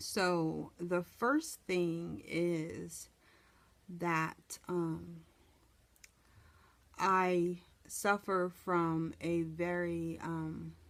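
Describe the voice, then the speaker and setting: Very slowly, with long, frequent pauses, a woman speaks at a fairly low pitch with fairly even intonation. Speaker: vlogger. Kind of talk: personal testimony. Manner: halting.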